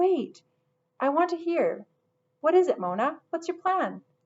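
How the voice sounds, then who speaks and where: In a put-on character voice, a woman speaks at a moderate pace with lively intonation, squeaky and at an extremely high pitch. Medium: read story.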